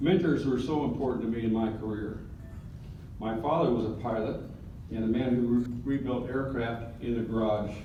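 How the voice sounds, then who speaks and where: A man at medium pitch and moderate pace, fairly even in intonation, with audible room echo and noticeable background noise. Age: 70s. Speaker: retired military pilot. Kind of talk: acceptance speech.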